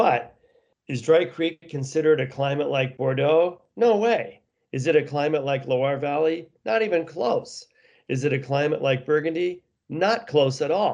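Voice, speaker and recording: A man with an American accent speaks at a fairly slow pace in an ordinary speaking voice. His pitch is fairly high, with ordinary variation. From US West Coast (San Jose, California; Seattle from 16). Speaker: winery owner. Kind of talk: interview.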